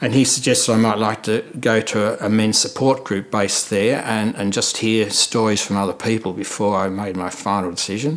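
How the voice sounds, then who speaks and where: Over noticeable background noise, a man speaks at a fairly quick pace. His intonation stays fairly even. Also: fairly low pitch for a man, hardly any pauses. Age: 70s. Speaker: prostate cancer survivor. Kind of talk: testimony. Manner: halting.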